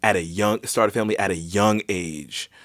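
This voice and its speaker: A man in a plain, everyday voice talks at a moderate pace with ordinary pitch variation. The recording is very clean and the background silent. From US. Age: 20s. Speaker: podcast host. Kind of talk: casual chat.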